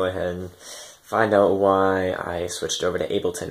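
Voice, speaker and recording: A plain, everyday voice, male and fairly low, moving at a moderate pace. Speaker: electronic music producer vlogger. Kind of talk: casual vlog, equipment overview. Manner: casual, filler-heavy.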